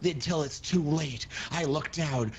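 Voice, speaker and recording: Put-on character voice from a man, with clear background noise behind it. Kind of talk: theatrical fantasy roleplay. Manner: dramatic, solemn.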